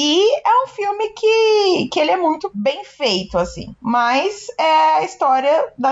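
A woman talks at a very slow pace with very wide pitch swings. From Brazil. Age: 20s. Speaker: podcast co-host. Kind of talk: casual chat.

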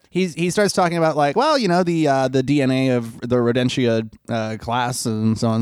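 The intonation moves in a lively way. The text is read aloud plainly.

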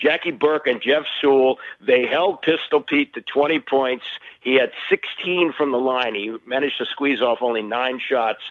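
A man's medium-pitched voice at a fairly slow pace, ordinary pitch variation, and noticeable background noise. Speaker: sports radio host. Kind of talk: casual sports chat.

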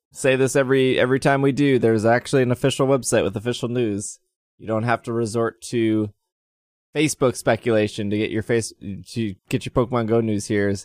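This man has an unremarkable speaking voice at a medium pitch. The recording is very clean, with a silent background. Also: fairly even intonation, fairly quick pace. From US Midwest (Wisconsin). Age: 30s. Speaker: podcast host. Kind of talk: casual chat.

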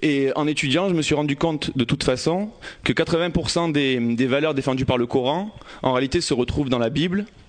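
A man speaks in a normal speaking voice, fairly high in pitch, at a moderate pace. His loudness holds very even, and his pitch varies in an ordinary way. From Marseille, northern districts. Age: 20s. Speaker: audience member speaking. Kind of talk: personal testimony. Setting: stage with audience.

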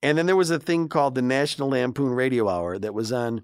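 A man talks with a Chicago accent. His pitch is medium, with ordinary pitch variation. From Chicago, south side. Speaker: morning radio host. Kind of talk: casual chat. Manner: animated.

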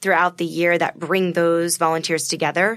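A woman with an unremarkable speaking voice talks at a fairly quick pace with fairly low pitch. The recording is very clean, with a silent background. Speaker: charity founder. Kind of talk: interview.

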